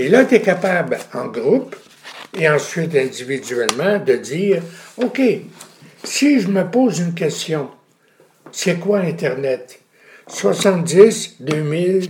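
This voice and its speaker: A high-pitched man speaks at a very slow pace with very wide pitch swings and long, frequent pauses. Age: 80s+. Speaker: retired communications professor. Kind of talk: interview.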